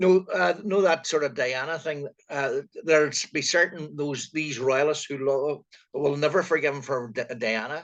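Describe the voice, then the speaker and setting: With a Northern Irish accent, this man talks at a moderate pace in a fairly high pitch, with ordinary pitch variation. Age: 60s. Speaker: retired co-host. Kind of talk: casual chat.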